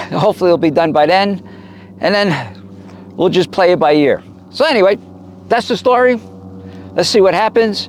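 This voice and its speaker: A man speaks at a moderate pace with very even loudness and long, frequent pauses, over noticeable background noise. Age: 70s. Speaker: vlogger living on the road. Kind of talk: casual vlog monologue. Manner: rambling, hesitant with fillers.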